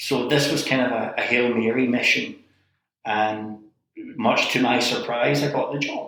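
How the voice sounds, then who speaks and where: A man speaks with a Scottish accent at a fairly slow pace. Audible room echo surrounds his voice. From Scotland. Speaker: library director turned city manager. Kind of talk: interview conversation.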